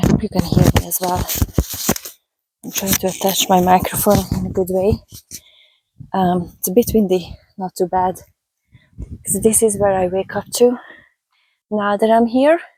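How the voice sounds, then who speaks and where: Long, frequent pauses from a woman with a Hungarian accent, medium pitch, and fairly even intonation. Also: moderate pace. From Hungary, raised in Budapest. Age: 30s. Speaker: vlogger and health coach. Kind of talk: casual walking vlog. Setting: outdoors on a country road. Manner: casual, chatty.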